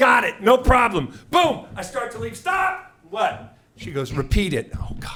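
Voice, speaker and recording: A man with an American accent talks fairly slowly, noticeable background noise running behind his words. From US Pacific Northwest, Seattle. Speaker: comedian. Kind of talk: stand-up. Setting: stage with audience. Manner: loud; animated.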